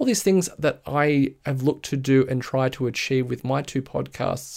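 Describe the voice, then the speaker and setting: With an Australian accent, a man talks at a moderate pace on a very clean recording with a silent background. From Australia, Sydney area (Blue Mountains). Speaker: podcast host and brand designer. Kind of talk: solo podcast monologue.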